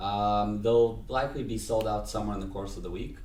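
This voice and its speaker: A man talks very fast with an American accent. Room echo is audible. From United States. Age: 20s. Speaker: event organizer. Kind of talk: casual chat.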